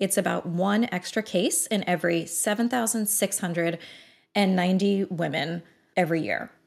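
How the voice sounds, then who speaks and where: A woman speaks at a moderate pace with medium pitch and very even loudness. The recording is very clean, with a silent background. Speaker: OB-GYN doctor and social media educator. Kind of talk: casual interview about sex health. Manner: animated, chatty.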